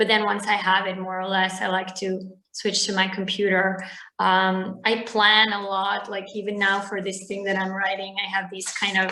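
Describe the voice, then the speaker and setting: A woman talks at a moderate pace in a bright, sharp tone with monotone, flat intonation. Audible room echo surrounds her voice. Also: medium pitch for a woman. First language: Bosnian/Serbo-Croatian. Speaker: novelist. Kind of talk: interview.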